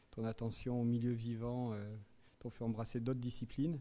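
The man's voice has a dark, mellow tone. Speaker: teacher introducing a guest lecturer. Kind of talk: lecture introduction and reading aloud. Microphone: studio mic.

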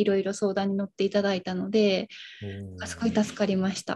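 Speaking at a very fast pace, a woman sounds somewhat breathy. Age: 20s. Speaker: medical social worker and childhood leukemia survivor; guest. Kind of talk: casual chat. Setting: live stream. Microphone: video call.

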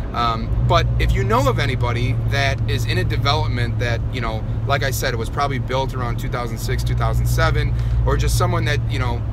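A man speaking at a moderate pace amid loud background noise, the sound itself dry with no echo. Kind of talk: casual vlog chat. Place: car. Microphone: phone near.

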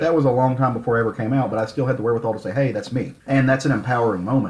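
Speaking at a very fast pace, a man sounds somewhat breathy. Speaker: podcast host. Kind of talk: casual chat.

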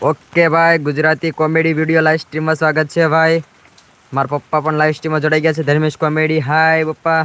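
Keeping his loudness very even, a man speaks with a fairly high pitch. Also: dry, close sound with no echo. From Gujarat, Saurashtra region (Ahmedabad district, Dholera area). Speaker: vlogger. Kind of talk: live stream commentary. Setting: outdoors in rain with umbrella. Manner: animated.

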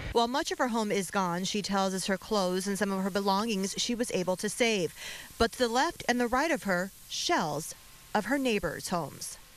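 Lively intonation from a woman in a plain, everyday voice, medium in pitch, at a moderate pace. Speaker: television news reporter. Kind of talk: live TV news report.

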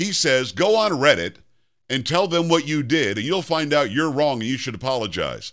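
Vocal fry marks this man's fairly high voice. He speaks at a moderate pace against a quiet background. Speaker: syndicated talk radio host. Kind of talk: talk radio commentary. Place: studio.

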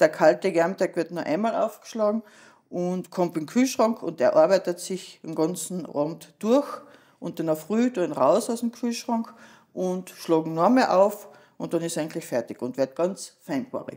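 A woman with an unremarkable speaking voice, medium in pitch, lively in intonation, at a moderate pace. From Austria, Carinthia. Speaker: cook and tavern owner. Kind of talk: cooking instruction.

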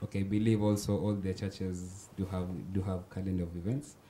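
A man speaks at a moderate pace in a very deep, low voice with a dark, mellow tone. His intonation stays fairly even over light background noise. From Kenya. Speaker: spoken word artist and student. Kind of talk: casual chat. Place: studio. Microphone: handheld.

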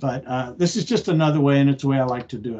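Against a quiet background, a man talks with a dark, mellow tone. His fairly high voice shows ordinary pitch variation. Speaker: horticulture extension agent. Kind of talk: online lecture. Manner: fast. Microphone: video call.

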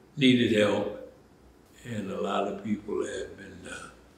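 A man speaking at a very slow pace, with audible room echo. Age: 80s+. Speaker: food pantry coordinator. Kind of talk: interview answer. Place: office.

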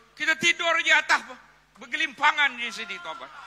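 A man projects his raised voice at a moderate pace, the sound dry and close with no echo. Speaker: rally emcee and politician. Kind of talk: rally emceeing. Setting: stage with audience.

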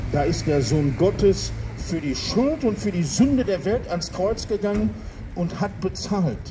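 Over noticeable background noise, a man with a high pitch speaks in a solemn tone at a fairly slow pace. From Gelsenkirchen, Ruhr area, Germany. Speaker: street preacher. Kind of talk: open-air street sermon to passers-by, with urgent calls to repent. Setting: outdoors in front of a town hall and church. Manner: emphatic, fervent, repeating for emphasis, persuasive; rhetorical, with dry jokes, then solemn and appealing at the close. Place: street. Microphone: handheld.

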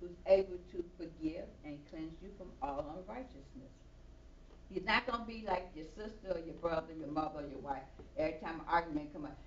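Over light background noise and audible room echo, a woman with an American accent speaks fairly quickly in a fairly low voice, her loudness swinging widely. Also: ordinary pitch variation. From Chicago. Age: 60s. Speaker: evangelist. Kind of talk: sermon. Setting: church. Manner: animated. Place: church.

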